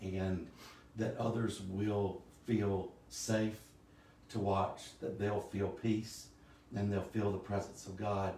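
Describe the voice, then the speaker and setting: At a very slow pace, a man with an American accent speaks at a fairly low pitch in a monotone, flat intonation, with audible room echo and noticeable background noise. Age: 60s. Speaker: church musician and online worship host. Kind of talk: casual worship livestream chat. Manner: hesitant, many fillers.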